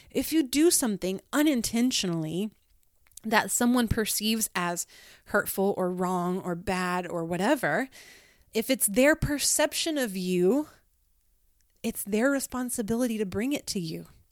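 A woman speaks at a fairly slow pace and fairly high pitch, her tone animated and her intonation lively. The recording is very clean, with a silent background. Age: 30s. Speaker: podcast host and pastor. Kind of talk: casual motivational monologue. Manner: animated, frequent laughter.

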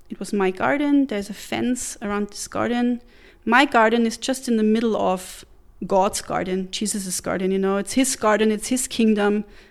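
Moderate-paced speech in a German accent with ordinary pitch variation, on a very clean recording with a silent background. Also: woman, fairly high pitch for a woman. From Central European German-speaking country. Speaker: missionary. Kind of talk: interview testimony.

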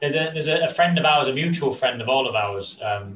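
Lively intonation and a moderate pace from an unremarkable speaking voice. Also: man. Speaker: podcast host. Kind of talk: podcast interview.

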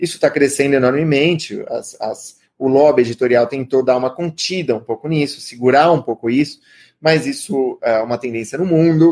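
With a normal speaking voice, a man talks at a moderate pace, his fairly high pitch varying in an ordinary way. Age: 30s. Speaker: writer and creative writing teacher. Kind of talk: lecture.

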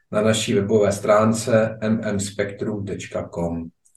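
With audible room echo around him, a man speaks in a somewhat breathy voice using fairly even intonation. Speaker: magazine podcast host. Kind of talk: interview; scripted intro. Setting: remote link from Prague.

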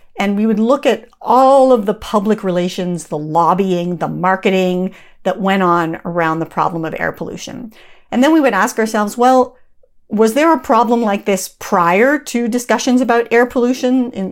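A woman with an unremarkable speaking voice talks at a medium pitch and moderate pace with lively intonation, on a very clean recording with a silent background. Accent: Canadian. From Canada. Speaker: professor and author. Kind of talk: interview.

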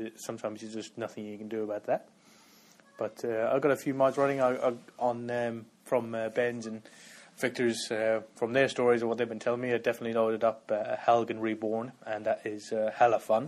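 A man speaks at a fairly quick pace in a medium pitch, his intonation monotone and flat. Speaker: listener sending feedback. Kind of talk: recorded listener feedback message about gaming. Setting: pre-recorded audio message played into the show.

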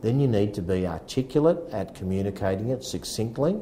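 Speaking at a moderate pace with an Australian accent, a man has a dark, mellow tone. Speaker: real estate agency founder and sales coach. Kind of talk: casual chat. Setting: real estate office.

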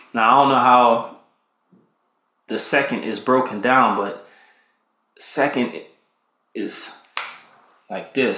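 A man's medium-pitched voice, bright and sharp in tone, at a fairly slow pace with audible room echo. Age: 30s. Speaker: podcast host, military veteran. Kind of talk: casual solo monologue. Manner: relaxed, conversational with fillers.

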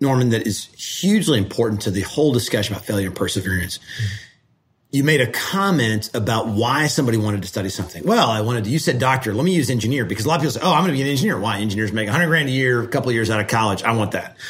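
A man's lively intonation at a very fast pace, with audible room echo. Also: medium pitch for a man. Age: 40s. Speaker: state energy regulator. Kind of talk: casual mentoring conversation.

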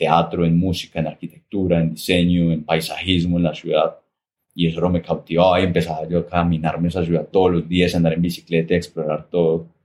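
Very deep and low, the man's voice holds a monotone, flat intonation. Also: fairly quick pace. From Colombia, Armenia, Quindío. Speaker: painter and coffee shop owner. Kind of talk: interview. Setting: small coffee shop. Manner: clear and expressive.

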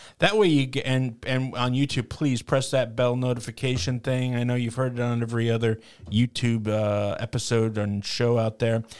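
A man speaks at a moderate pace in a normal speaking voice, with medium pitch and fairly even intonation. There are hardly any pauses, and the recording is very clean with a silent background. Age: 40s. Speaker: co-host and tech operator. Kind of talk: casual chat.

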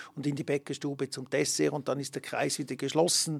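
On a very clean recording with a silent background, a man speaks at fairly high pitch with vocal fry. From Switzerland, Emmen (canton Lucerne). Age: 60s. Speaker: ski resort director. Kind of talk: interview. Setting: studio.

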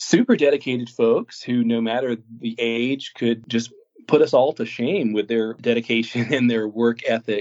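A man's voice at a medium pitch. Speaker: volunteer manager in healthcare. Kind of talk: casual interview conversation. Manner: upbeat, positive-sounding; hesitant with frequent repetitions.

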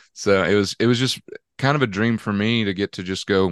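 A man's fairly low voice with a Southern US accent and fairly even intonation, over a quiet background. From Georgia, US South. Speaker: country singer-songwriter. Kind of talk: casual chat. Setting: video call.

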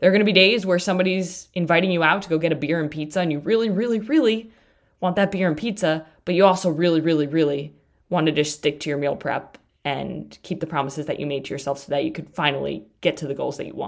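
Her pitch varies in an ordinary way. A woman speaks very fast. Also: fairly low pitch for a woman. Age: 20s. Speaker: fitness and nutrition podcast host. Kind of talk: solo motivational monologue. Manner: emphatic.

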